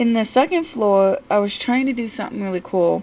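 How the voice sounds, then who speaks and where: A woman at a fairly slow pace, with ordinary pitch variation and light background noise. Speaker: gaming YouTuber. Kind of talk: game house tour commentary. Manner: quiet, not loud. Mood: relaxed, mildly frustrated. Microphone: phone near.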